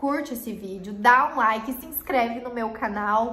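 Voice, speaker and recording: Fairly high-pitched female speech with ordinary pitch variation. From Paraná, southern Brazil. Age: 20s. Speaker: YouTuber; youtuber. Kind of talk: casual vlog talk to camera. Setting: improvised home recording corner. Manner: animated. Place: home room.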